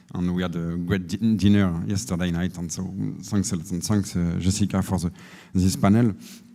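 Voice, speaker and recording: A man with a French accent has a dark, mellow tone, recorded very cleanly against a silent background. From France. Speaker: energy efficiency company representative. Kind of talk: panel presentation. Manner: halting.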